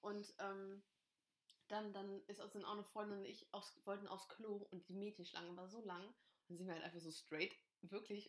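A woman talks at medium pitch and a moderate pace. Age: 20s. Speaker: podcast host. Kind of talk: casual chat. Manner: animated, frequent laughing.

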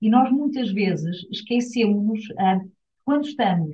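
A woman talks at a fairly slow pace. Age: 50s. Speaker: UN agency director. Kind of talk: interview. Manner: hesitant fillers.

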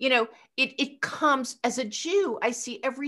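A woman with an American accent talks at a moderate pace, her bright, sharp tone edged with vocal fry. The recording is very clean, with a silent background. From Eastern Pennsylvania. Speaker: rabbi. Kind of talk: casual chat.

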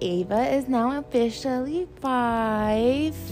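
In a put-on character voice, a female-sounding speaker talks very slowly, nasal and fairly high-pitched, with clear background noise.

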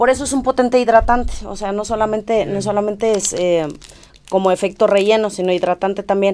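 A woman talks at a very fast pace with a medium pitch and fairly even intonation. Music plays in the background. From Romania. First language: Romanian (speaking Spanish). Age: 30s. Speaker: aesthetic doctor. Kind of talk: casual chat with medical explanation.

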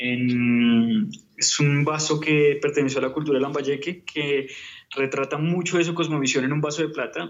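A man uses a plain, everyday voice. His pitch is fairly high and his intonation fairly even. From Colombia, Bogotá. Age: 30s. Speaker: painter. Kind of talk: interview.

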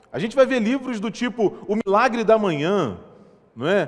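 A man talks in a high voice against noticeable background noise. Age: 30s. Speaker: pastor. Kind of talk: sermon.

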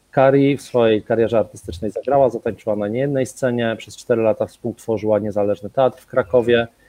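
At a very fast pace with hardly any pauses, a man of medium pitch talks with fairly even intonation and big swings in loudness. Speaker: cultural centre event host. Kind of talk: live-streamed panel moderation.

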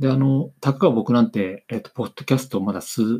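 A man's voice of medium pitch, dark and mellow in tone. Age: 40s. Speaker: business consultant podcaster. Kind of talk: solo podcast monologue. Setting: home recording on camera. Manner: halting, many fillers; reading from script.

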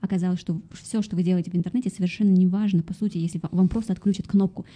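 A somewhat breathy woman's voice at a medium pitch, dark and mellow in tone, with fairly even intonation and a very fast pace. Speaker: podcast host and interviewer. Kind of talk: interview conversation.

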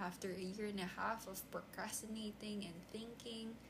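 A woman speaks with a Filipino accent. Noticeable background noise is present. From Philippines. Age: 20s. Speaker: podcaster. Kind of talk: unscripted solo monologue. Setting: at home desk recording on tablet.

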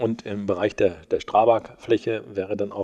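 Moderately paced, the speech carries a dark, mellow tone. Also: man. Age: 60s. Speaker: mayor. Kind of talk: interview. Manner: hesitant, many filler sounds.

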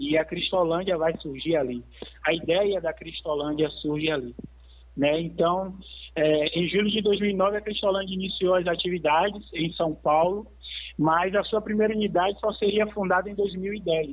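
This man has a high pitch and ordinary pitch variation. He talks at a moderate pace with very even loudness. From Salvador, Bahia, Brazil. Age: 30s. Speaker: missionary, rehab centre manager. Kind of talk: radio interview, testimony.

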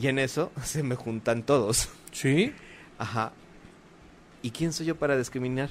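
Speaking at a medium pitch with ordinary pitch variation, a man goes at a fairly slow pace with long, frequent pauses. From Mexico. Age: 40s. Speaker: YouTuber and playwright. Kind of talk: casual chat.

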